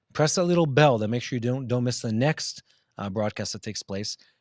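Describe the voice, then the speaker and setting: In a normal speaking voice, a man with an American accent talks at a fairly quick pace and medium pitch with ordinary pitch variation, the sound dry and close with no echo and the recording very clean over a silent background. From Israel. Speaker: news show host. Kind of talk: live news Q&A broadcast. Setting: outdoors downtown Jerusalem, live.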